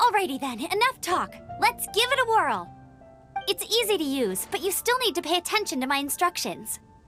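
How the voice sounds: A woman does a cartoonish character voice at an extremely high pitch, with big pitch swings, a fairly bright tone and a moderate pace, while faint music plays in the background.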